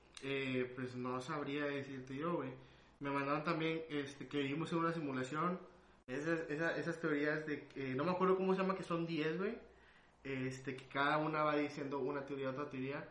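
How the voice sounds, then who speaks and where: A man speaks at a moderate pace with fairly even intonation. His pitch is fairly high, and there is audible room echo. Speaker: podcast host. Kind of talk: casual chat. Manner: halting.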